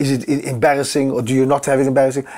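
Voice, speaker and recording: Quiet surroundings behind a male speaker. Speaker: interviewee. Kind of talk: interview answer. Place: home room.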